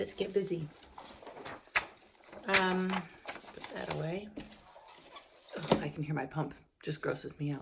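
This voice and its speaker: A woman speaks at a fairly slow pace with a very deep, low pitch and lively intonation. Her loudness swings widely, long pauses come often, and background noise is noticeable. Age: 50s. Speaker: cancer patient vlogger. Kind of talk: casual video diary. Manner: chatty, rambling.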